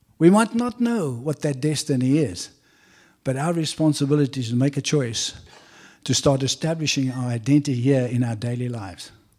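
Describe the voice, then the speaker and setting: A man's fairly high-pitched voice with a dark, mellow tone, fairly quick pace and lively intonation, on a very clean recording with a silent background. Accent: South African. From South Africa. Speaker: visiting preacher. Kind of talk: sermon. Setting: church.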